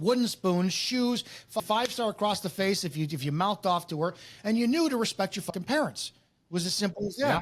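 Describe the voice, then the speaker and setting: A man talks loudly and fairly quickly in a high voice with lively intonation, in a very clean recording with a silent background. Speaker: former police officer. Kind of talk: casual podcast conversation. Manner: animated.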